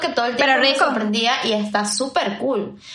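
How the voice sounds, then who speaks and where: Audible room echo and noticeable background noise surround the speech. A woman talks at a moderate pace. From Venezuela. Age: 20s. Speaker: podcast co-host. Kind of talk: casual chat.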